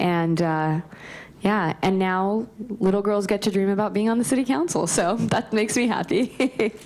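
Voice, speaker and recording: This woman has an ordinary speaking voice, medium in pitch with ordinary pitch variation. She talks at a moderate pace with very even loudness. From California, Bakersfield. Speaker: city council member. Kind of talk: panel discussion.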